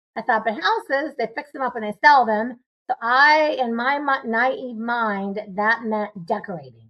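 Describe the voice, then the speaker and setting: Using an ordinary speaking voice, a woman talks at a fairly slow pace with hardly any pauses. Her pitch is fairly high, with ordinary variation. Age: 60s. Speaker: real estate investor. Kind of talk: interview.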